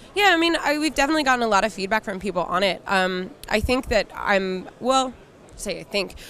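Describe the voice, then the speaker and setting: At a very fast pace, a woman talks with a slight Philadelphia accent. Her pitch varies in an ordinary way. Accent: slight Philadelphia accent, mainly on 'water'. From US Northeast, Philadelphia. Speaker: game studio community manager. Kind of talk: casual interview. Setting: trade show floor. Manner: many fillers, hesitant restarts.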